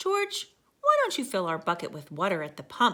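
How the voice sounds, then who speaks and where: A woman's put-on character voice, fairly high-pitched, at a moderate pace with big swings in loudness. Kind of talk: bedtime story. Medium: read story. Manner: warm, patient.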